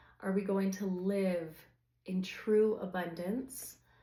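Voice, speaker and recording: A woman speaks at medium pitch with a dark, mellow tone. There is audible room echo. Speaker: tarot reader. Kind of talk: tarot reading to camera. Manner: conversational, filler-heavy.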